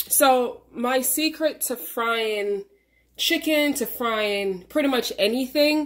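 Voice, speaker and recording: A woman speaks at a high pitch with ordinary pitch variation. Her pace is very slow, and the background is quiet. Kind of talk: tutorial. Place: kitchen.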